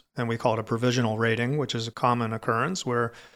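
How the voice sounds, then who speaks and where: With an American accent, a man talks at a very fast pace. His pitch sits in the medium range. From Florida. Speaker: cave diver and dive center director. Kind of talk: interview.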